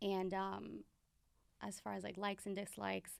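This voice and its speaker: A woman speaks with an American accent. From New York (Bronx) and Pennsylvania Poconos. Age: 20s. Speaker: boutique owner and flight attendant. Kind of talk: podcast interview.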